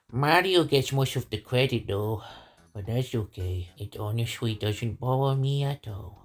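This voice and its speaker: A man's put-on character voice at medium pitch and a moderate pace, on a very clean recording with a silent background. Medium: dub. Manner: casual, self-deprecating.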